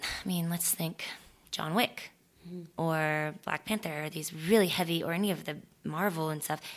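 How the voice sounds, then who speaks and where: In a very clean recording with a silent background, a woman with an American accent has a normal speaking voice, a fairly low pitch and fairly even intonation. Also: moderate pace. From Florida, small town. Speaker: stunt performer and actress. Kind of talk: casual chat.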